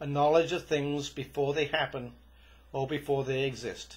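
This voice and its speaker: A somewhat breathy man with a Welsh accent, fairly high-pitched, at a moderate pace with fairly even intonation. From Wales. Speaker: storyteller. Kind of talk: storytelling monologue. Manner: occasional stammering.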